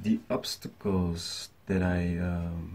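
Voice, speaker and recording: Somewhat breathy, a man speaks in a very deep, low pitch. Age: 20s. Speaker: smallholder farmer. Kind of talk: prepared statement to camera; explanatory talk to camera. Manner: hesitant, many fillers. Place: home room. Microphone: webcam.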